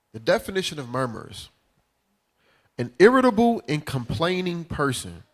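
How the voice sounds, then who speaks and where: On a very clean recording with a silent background, a man with an American accent speaks at a moderate pace in an animated tone, his pitch swinging very widely. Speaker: bible teacher. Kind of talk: religious class teaching. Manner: casual, animated.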